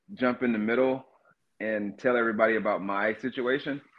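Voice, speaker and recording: Speaking at a fairly quick pace, a man uses a plain, everyday voice of medium pitch with ordinary pitch variation. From North Georgia, US. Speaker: author, cannabis industry worker. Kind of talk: interview, casual conversation. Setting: phone or video call from Seattle.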